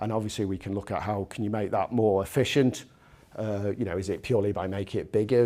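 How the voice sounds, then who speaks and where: With a British accent, the man talks at a very fast pace in a dark, mellow tone, his pitch fairly low and his intonation fairly even. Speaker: engineering product director giving a technical lecture. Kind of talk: technical lecture. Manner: halting, many fillers and repetitions.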